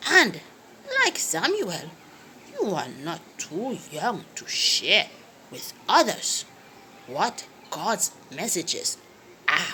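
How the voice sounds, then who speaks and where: Over clear background noise, a woman with a warm tone and medium pitch speaks very slowly, with long, frequent pauses and big swings in loudness. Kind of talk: children's Bible storytelling. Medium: read story. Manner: warm, coaxing, lots of "hmm" and "yes".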